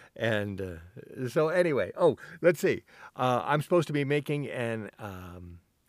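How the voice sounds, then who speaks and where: His pitch fairly high, a man speaks with very wide pitch swings. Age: 60s. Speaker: solo podcaster. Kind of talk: casual monologue. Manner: halting, many fillers.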